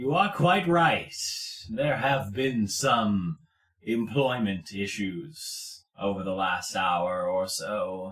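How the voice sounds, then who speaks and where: Doing a put-on character voice, a man talks very slowly at medium pitch with lively intonation. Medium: actual play. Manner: calm, polite, quietly menacing.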